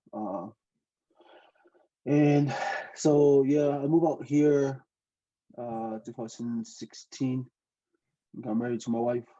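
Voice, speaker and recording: At a very slow pace, a man speaks with long, frequent pauses and ordinary pitch variation. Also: medium pitch for a man. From Tonga. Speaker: aviation student, trainee pilot. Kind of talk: casual interview. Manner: halting.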